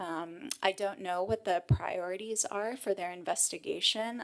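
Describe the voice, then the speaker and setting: Moderate pace and medium pitch from a woman with an unremarkable speaking voice, plus ordinary pitch variation. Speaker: human rights lawyer. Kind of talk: panel discussion answers.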